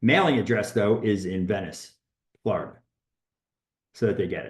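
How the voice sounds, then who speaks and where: A somewhat breathy voice is heard with audible room echo. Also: man, fairly low pitch for a man, ordinary pitch variation, moderate pace. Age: 60s. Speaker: real estate agent and coach. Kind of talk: workshop talk. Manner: halting.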